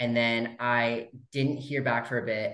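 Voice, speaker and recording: There is audible room echo as a medium-pitched man with an American accent speaks over a quiet background. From California. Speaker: actor. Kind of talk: casual interview. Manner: animated. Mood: cheerful, relaxed. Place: home room. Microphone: video call.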